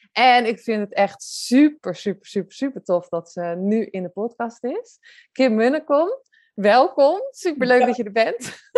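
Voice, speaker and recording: Lively intonation marks a woman's high-pitched voice as she speaks at a fairly slow pace. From Zeeland, Netherlands. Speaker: photographer and podcast host. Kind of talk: podcast interview.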